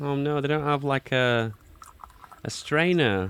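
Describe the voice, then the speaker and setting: Someone male is talking. Background noise is noticeable throughout. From Britain. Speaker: streamer reacting to videos. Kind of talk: reaction commentary. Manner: animated.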